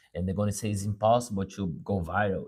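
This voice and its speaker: A man with a Brazilian accent speaks in a somewhat breathy voice at a fairly low pitch. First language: Portuguese. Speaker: musician and motivational speaker. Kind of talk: motivational live talk. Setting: live stream. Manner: halting, with repetitions.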